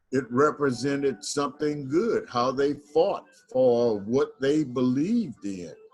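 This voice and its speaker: A man with an American accent and fairly high pitch, at a fairly slow pace, with music in the background. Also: lively intonation. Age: 70s. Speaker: community member. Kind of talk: online group discussion.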